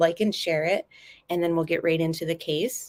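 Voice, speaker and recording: Soft-spoken and fairly low-pitched, a woman talks with fairly even intonation. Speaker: true crime YouTuber. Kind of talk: live stream commentary. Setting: home kitchen and living room.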